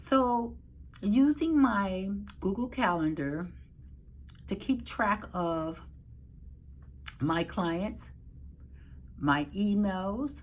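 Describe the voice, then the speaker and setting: Very slowly and with long, frequent pauses, a woman of medium pitch speaks in a somewhat breathy voice with lively intonation. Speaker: dispatching service business owner. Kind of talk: casual talk to camera.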